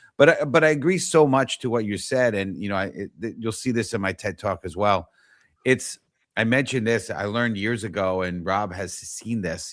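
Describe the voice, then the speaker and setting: A man speaks at a fairly quick pace with a New York accent. His pitch variation is ordinary. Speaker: talk show host. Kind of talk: casual interview chat. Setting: live online show.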